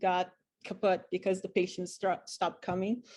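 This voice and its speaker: The speaker is a woman. She talks with a Portuguese accent. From Brazil. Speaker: physician and professor. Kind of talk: casual interview. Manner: halting, many fillers.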